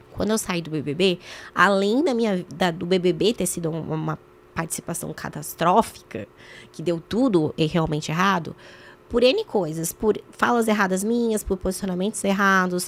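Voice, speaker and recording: This woman has an unremarkable speaking voice, mid-range in pitch with ordinary pitch movement, and talks at a moderate speed. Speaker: former reality show contestant and journalist. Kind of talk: podcast interview.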